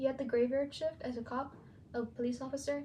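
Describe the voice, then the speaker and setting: Fairly quickly and with fairly even intonation, a woman talks. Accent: Spanish. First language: Spanish. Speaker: student podcaster, aspiring teacher. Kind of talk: personal narrative podcast.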